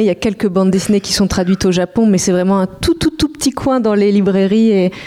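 At a fairly quick pace, a woman with an ordinary speaking voice talks at medium pitch with ordinary pitch variation. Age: 30s. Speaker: comics editor. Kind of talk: panel discussion.

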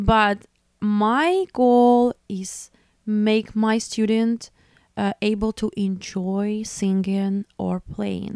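A woman with a Belarusian accent speaks at a fairly high pitch, recorded with a dry, close sound and no echo. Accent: non-native English, Belarusian. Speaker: opera singer and music teacher. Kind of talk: interview conversation. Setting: studio. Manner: halting.

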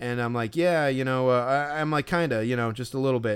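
A man at medium pitch with an American accent, speaking at a fairly quick pace. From Chicago area. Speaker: podcast co-host, baseball fan. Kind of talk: casual chat. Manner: halting, many fillers.

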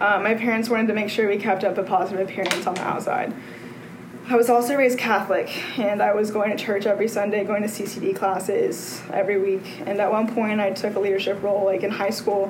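Over noticeable background noise and audible room echo, a woman with an American accent talks at a very fast pace in a medium pitch with monotone, flat intonation. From Texas. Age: 20s. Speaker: recovering alcoholic speaker. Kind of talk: testimony.

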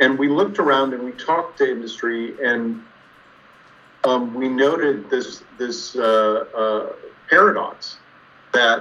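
A man with an American accent speaks at a medium pitch and a fairly slow pace, with ordinary pitch variation. Long, frequent pauses break up his speech over noticeable background noise. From US Southwest, Tucson, Arizona. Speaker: engineering professor. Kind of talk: interview.

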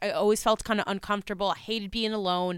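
At a moderate pace, a woman with a medium pitch speaks in a dry, close sound with no echo, on a very clean recording with a silent background. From New Jersey. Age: 20s. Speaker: psychic medium. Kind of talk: casual chat.

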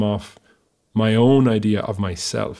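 A man with a medium pitch and a western Irish accent. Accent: Irish (west of Ireland). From Ireland, Galway. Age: 30s. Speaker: musician, singer and guitarist. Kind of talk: casual interview.

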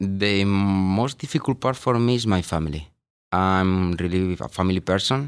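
In a very clean recording with a silent background, a man with a Spanish accent speaks at a moderate pace in a very deep, low pitch. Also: ordinary pitch variation. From Spain. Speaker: payroll supervisor. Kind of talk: interview.

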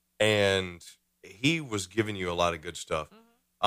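In a very clean recording with a silent background, a man speaks at a moderate pace with a bright, sharp tone. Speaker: podcast host. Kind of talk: casual chat. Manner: animated.

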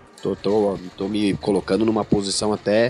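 A man's fairly low voice, flat and monotone, at a fairly slow pace over background music. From Brazil, São Paulo. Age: 40s. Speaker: rock singer and guitarist. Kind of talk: casual chat. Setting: studio.

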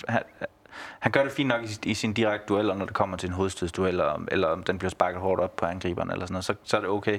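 In a fairly low pitch, a man rattles off his words at a very fast pace. The background is silent, and the recording is very clean. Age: 30s. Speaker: football fan. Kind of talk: casual chat. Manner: hesitant, repeats words.

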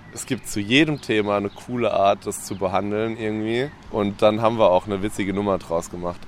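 Noticeable background noise sits behind a man talking at a fairly low pitch with fairly even intonation. He moves at a fairly quick pace with hardly any pauses. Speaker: rapper. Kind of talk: casual chat. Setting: outdoors.

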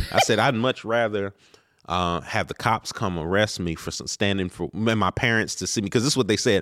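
A man with an American accent and an ordinary speaking voice, fairly low in pitch, with ordinary pitch variation at a fairly quick pace, in a dry, close sound with no echo and a very clean recording with a silent background. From Maryland, Baltimore area. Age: 30s. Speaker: minister. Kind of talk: casual interview. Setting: on location.

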